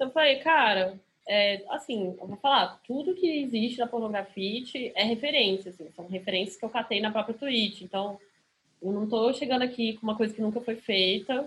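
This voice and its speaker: She has a plain, everyday voice with fairly high pitch and ordinary pitch variation. This woman speaks at a moderate pace. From Brasília, Brazil. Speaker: DJ. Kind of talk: casual chat.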